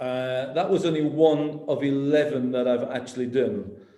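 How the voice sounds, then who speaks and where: A man with a Lancashire accent at a very slow pace, fairly high in pitch, with fairly even intonation and audible room echo. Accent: Wigan. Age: 60s. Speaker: business executive. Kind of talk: online talk to students. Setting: video call.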